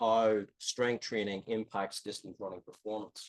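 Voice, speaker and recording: A man speaks in an Irish accent. The sound is dry and close, with no echo. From Ireland. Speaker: strength and conditioning professor. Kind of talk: lecture. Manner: hesitant, many fillers.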